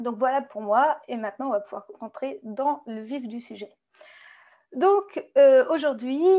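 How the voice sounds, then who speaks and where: Against a quiet background, a woman speaks at a high pitch with a dark, mellow tone. Her intonation is lively and her pace very slow. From France. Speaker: database consultant. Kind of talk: webinar presentation. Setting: online webinar. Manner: hesitant, frequent fillers.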